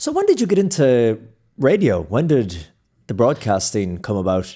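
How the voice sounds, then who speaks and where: A man with an Irish accent speaks at a moderate pace and a medium pitch. His tone is dark and mellow, with very wide pitch swings. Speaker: podcast host and broadcast journalist. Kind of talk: interview conversation.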